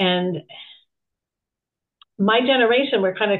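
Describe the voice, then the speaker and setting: The woman talks at a moderate pace, her pitch varying in an ordinary way. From Canada, Toronto. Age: 60s. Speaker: women's health coach. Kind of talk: interview conversation.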